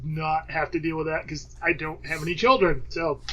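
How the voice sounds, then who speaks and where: Using an unremarkable speaking voice, a man talks with a fairly high pitch and fairly even intonation. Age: 30s. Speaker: podcast host. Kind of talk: casual chat.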